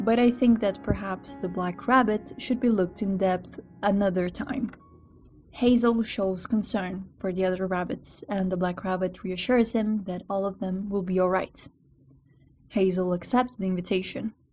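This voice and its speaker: A woman speaks in a Brazilian accent with fairly even intonation. Her voice is somewhat breathy. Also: medium pitch for a woman, moderate pace. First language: Brazilian Portuguese. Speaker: video essayist. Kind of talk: video essay narration.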